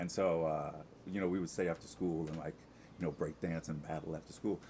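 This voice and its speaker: A man speaks with an American accent. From Long Island, New York. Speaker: Broadway ensemble performer. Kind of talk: casual interview chat.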